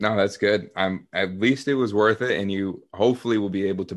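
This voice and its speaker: This is a man with an unremarkable speaking voice, pitched fairly low. He talks at a moderate pace with fairly even intonation. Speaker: podcast host. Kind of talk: casual chat.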